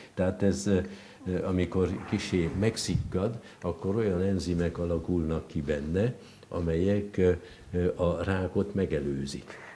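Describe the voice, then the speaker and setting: A man with a very deep, low pitch speaks at a fairly slow pace, keeping fairly even intonation and very even loudness between long, frequent pauses. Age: 70s. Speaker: professor. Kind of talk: casual chat. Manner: halting, many fillers.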